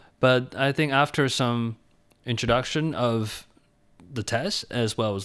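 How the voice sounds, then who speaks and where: A man with a Chinese accent at medium pitch, ordinary pitch variation, on a very clean recording with a silent background. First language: Mandarin Chinese. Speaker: English teacher, cram school founder. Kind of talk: interview. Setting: radio studio.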